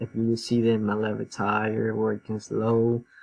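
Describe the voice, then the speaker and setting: A man talks at a fairly slow pace and a medium pitch. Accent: non-native. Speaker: student. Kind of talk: class presentation. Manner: halting, many fillers.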